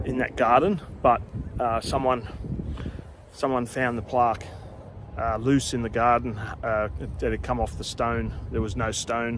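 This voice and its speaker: Speaking quietly at a fairly slow pace, a man with an Australian accent keeps a medium pitch and fairly even intonation, leaving long, frequent pauses. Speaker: cemetery tour video host. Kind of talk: casual vlog talk. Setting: outdoors in a cemetery.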